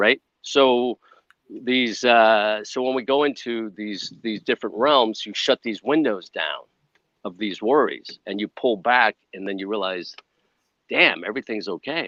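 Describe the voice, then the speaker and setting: Dry and close with no echo, a man's bright, sharp voice sits at a medium pitch with ordinary pitch variation. He talks at a fairly slow pace over a quiet background. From US Midwest, Chicago. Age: 60s. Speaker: wellness entrepreneur, former film crew. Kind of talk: podcast interview.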